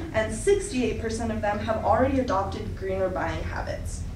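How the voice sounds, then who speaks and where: The speech moves at a moderate pace. Audible room echo and light background noise are present. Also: woman. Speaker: presenter. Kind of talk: presentation talk. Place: classroom. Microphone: camera far.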